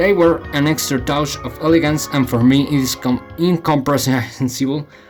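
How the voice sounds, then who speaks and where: With music in the background, a man speaks at a moderate pace. His pitch is fairly high, with ordinary pitch variation. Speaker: YouTuber. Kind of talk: video essay narration.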